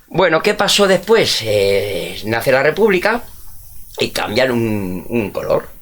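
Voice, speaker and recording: Very slowly and with very wide pitch swings, a man speaks in a fairly high pitch over noticeable background noise. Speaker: history teacher. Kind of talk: casual chat.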